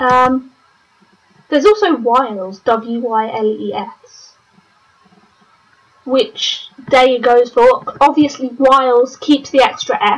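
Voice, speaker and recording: Speaking very slowly with long, frequent pauses, this voice has a British accent and ordinary pitch variation. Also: woman. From Britain. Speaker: online game commentator. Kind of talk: live commentary. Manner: casual, hesitant with many fillers.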